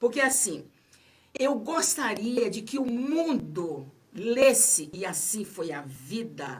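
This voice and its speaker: Audible room echo surrounds a woman speaking at a very slow pace, her pitch swinging very widely and her loudness rising and falling sharply. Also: fairly high pitch for a woman. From Bahia, Brazil. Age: 70s. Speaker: author. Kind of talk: radio interview.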